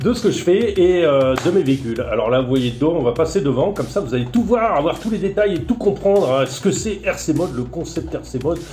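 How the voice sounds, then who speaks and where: Against music in the background and audible room echo, the voice moves at a fairly quick pace with very wide pitch swings. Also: man, fairly high pitch for a man, hardly any pauses. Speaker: RC hobbyist YouTuber. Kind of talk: casual show-and-tell presentation. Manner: fast; hesitant with fillers.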